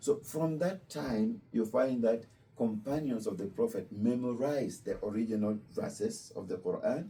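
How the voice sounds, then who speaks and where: This man has a medium pitch and a dark, mellow tone that is somewhat breathy. He speaks at a moderate pace with very wide pitch swings. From Kenya. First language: Luo. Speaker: imam. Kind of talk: religious talk to visitors. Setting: Islamic center with student visitors.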